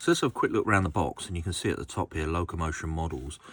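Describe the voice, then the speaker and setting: A man with a very deep, low voice, an Essex accent, a relaxed tone and fairly even intonation, on a very clean recording with a silent background. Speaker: model railway collector and video host. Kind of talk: casual product review. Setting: home workshop. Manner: relaxed, many fillers.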